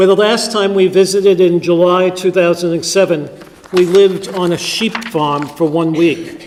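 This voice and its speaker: A man's high-pitched voice at a fairly slow pace, fairly even in intonation, over noticeable background noise. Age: 50s. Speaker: priest. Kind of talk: sermon.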